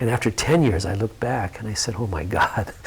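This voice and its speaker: A man at a fairly quick pace with lively intonation, over noticeable background noise. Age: 60s. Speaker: yoga teacher. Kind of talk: interview conversation. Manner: halting.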